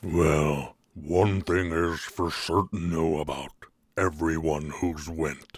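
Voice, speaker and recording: A man puts on a character voice, very deep and low in pitch, speaking at a very slow pace. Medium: actual play. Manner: slow, relaxed.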